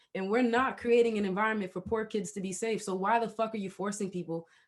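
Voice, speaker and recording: A woman's animated, very fast speech at a medium pitch. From Haiti. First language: not English (English is third language). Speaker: podcast host. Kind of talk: casual interview chat.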